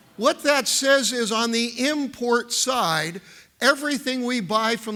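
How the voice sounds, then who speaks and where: A man projects a raised voice at an extremely high pitch, with a bright, sharp tone and a fairly slow pace. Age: 70s. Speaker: economist. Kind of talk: keynote speech. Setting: stage with audience.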